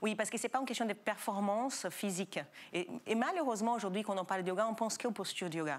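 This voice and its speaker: Ordinary pitch variation marks a woman's fairly high voice as she talks very fast. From Brazil. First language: Portuguese (speaking French). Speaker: yoga school founder. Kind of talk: TV talk show interview.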